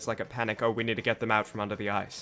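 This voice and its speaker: In an Australian accent, the voice has a bright, sharp tone. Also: man. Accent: Australian accent, mistaken by chat for Kiwi. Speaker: game streamer. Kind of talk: live gameplay commentary. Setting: live stream. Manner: casual, halting with restarts.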